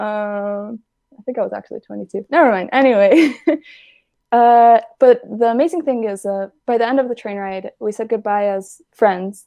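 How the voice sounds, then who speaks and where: A fairly high-pitched woman's voice with a dark, mellow tone, moderate pace, and ordinary pitch variation. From Israel. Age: 20s. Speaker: animator and filmmaker. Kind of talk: casual interview.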